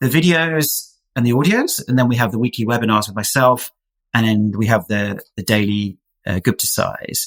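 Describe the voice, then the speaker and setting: A man's plain, everyday voice at a moderate pace, with medium pitch and ordinary pitch variation. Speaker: health practitioner and program founder. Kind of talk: interview.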